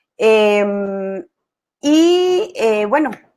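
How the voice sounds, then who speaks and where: A woman is speaking. Her pitch is fairly high. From Colombia. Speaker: positive psychology expert, guest lecturer. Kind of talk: online class. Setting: video call webinar.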